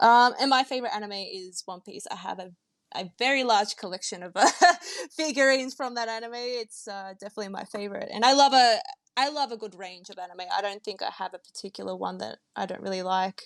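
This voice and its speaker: An Australian-accented woman talks at a fairly quick pace and fairly high pitch, with ordinary pitch variation, big swings in loudness, and a dry, close sound with no echo. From Australia, Melbourne. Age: young. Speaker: podcast co-host, digital artist. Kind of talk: casual chat.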